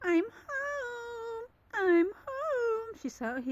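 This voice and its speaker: Put-on character voice from a woman, pitched extremely high. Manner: cheerful, greeting.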